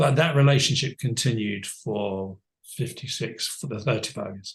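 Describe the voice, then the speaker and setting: Somewhat breathy, a man's voice proceeds at a moderate pace. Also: medium pitch for a man, ordinary pitch variation, big swings in loudness. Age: 70s. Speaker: life coach. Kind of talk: interview conversation. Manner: halting.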